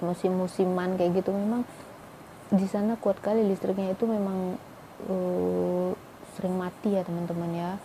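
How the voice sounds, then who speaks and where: With a Medan accent, a woman speaks at a medium pitch in a monotone, flat intonation over noticeable background noise. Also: moderate pace. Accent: Medan Malay. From Indonesia, Medan (North Sumatra), Malay ethnicity. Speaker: vlogger, Indonesian wife of a Pakistani man. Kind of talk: casual vlog talk. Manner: chatty, with many fillers.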